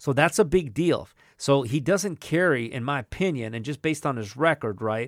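With a dry, close sound with no echo and a very clean recording over a silent background, a man in an American accent speaks at a fairly quick pace, medium pitch and lively intonation. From Southern California. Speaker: boxing podcast host. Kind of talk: casual chat about boxing.

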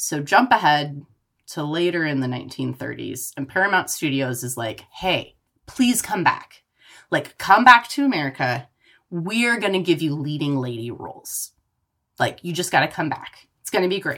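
With very wide pitch swings, a woman speaks in a very deep, low voice that has a bright, sharp tone. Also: moderate pace. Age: 30s. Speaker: podcast co-host. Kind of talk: casual chat. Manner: animated.

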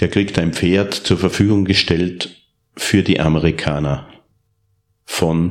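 With an Upper Austrian accent, a man speaks at a very slow pace in a very deep, low pitch with fairly even intonation. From Upper Austria (Steyr). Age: 40s. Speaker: professional horse trainer and reining rider. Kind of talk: interview.

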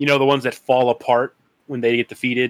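A man speaks in an ordinary speaking voice at medium pitch, with fairly even intonation and a dry, close sound with no echo. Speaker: remote guest. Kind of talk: casual chat. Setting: remote recording.

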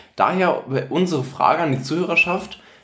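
A somewhat breathy man at a moderate pace, with audible room echo. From northern Germany, Lower Saxony near Bremen. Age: 20s. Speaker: podcast co-host. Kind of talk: casual chat.

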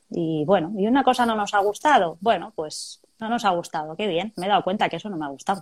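A woman speaks in a plain, everyday voice at a medium pitch. Her pace is fairly quick and her intonation lively. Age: 40s. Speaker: chemical plant worker. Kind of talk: testimony. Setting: video call.

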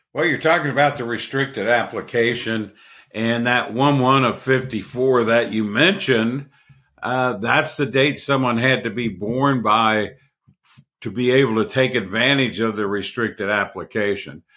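At a moderate pace, a man talks in a normal speaking voice at medium pitch with ordinary pitch variation. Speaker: co-host and Social Security expert. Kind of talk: explanatory podcast discussion. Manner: measured, explanatory.

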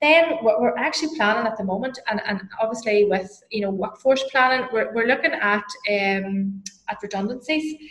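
This woman has a Northern Irish accent and a fairly high pitch. She talks at a moderate pace with ordinary pitch variation. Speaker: HR consultant and lecturer. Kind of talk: interview.

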